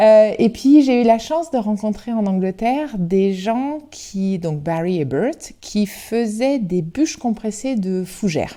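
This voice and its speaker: A woman's fairly high, dark, mellow voice with lively intonation, very slow yet with hardly any pauses. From Brittany, Côtes-d'Armor (France). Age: 40s. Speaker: entrepreneur, company co-founder. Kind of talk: podcast interview. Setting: at her factory. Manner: hesitant, many filler sounds.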